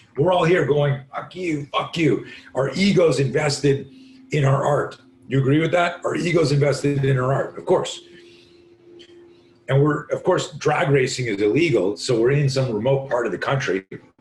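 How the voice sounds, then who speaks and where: A man's fairly high, somewhat breathy voice, animated in tone with ordinary pitch variation, at a moderate pace. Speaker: self-defense instructor. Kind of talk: podcast interview.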